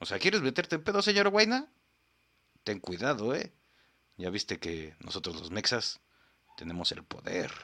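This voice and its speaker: In a bright, sharp, animated tone with vocal fry, the voice makes very wide pitch swings and big swings in loudness, leaving long, frequent pauses on a very clean recording with a silent background. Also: man, medium pitch for a man, moderate pace. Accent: Mexican. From Mexico. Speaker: podcast host. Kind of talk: casual comedic commentary.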